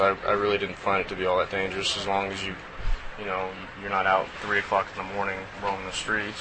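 A man with an American accent speaks at a fairly quick pace. His pitch is fairly low, and there is noticeable background noise. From Texas, Austin. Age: 30s. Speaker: professional baseball player. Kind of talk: interview.

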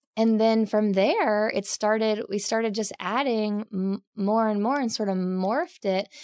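A woman with an American accent speaks in an ordinary speaking voice, her pitch fairly high and her intonation fairly even. She barely pauses, and the background is quiet. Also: fairly slow pace. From Oklahoma, US. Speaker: naturalist educator. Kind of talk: casual interview chat.

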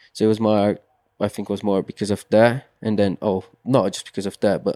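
With a Portuguese accent, a man speaks at a fairly low pitch in a dark, mellow tone with monotone, flat intonation. The recording is very clean, with a silent background and a dry, close sound with no echo. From Brazil. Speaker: mountain bike racer. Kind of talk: interview. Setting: studio. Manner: halting, many fillers and repeats.

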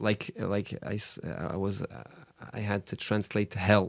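A man with a French accent speaks in a fairly low voice. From France, Paris suburbs (Orly). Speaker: rabbi. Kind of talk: casual chat. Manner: halting, with frequent fillers and repetitions.

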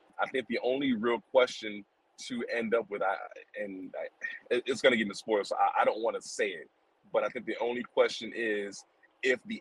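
Recorded dry and close with no echo, a man speaks at a moderate pace. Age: 30s. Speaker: video game and TV fan guest. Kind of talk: casual chat.

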